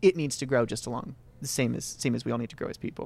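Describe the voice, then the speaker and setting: Very fast speech with vocal fry and ordinary pitch variation. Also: man. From Vermont, Northeast Kingdom. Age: 20s. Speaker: filmmaker. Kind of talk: interview. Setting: pub after screening. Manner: halting.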